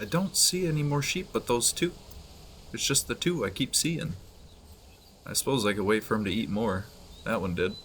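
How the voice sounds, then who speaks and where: Soft-spoken man at a medium pitch, moderate pace, with very wide pitch swings and long, frequent pauses. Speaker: gaming streamer. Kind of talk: casual gameplay commentary. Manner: soft-spoken, keeping quiet; subdued, low energy.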